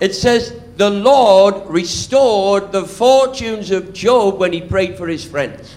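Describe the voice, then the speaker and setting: A man with a Welsh accent talks at a very slow pace over noticeable background noise, his high pitch showing ordinary variation. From Wales. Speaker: preacher. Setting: church sermon. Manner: preaches in short phrases paused for an interpreter.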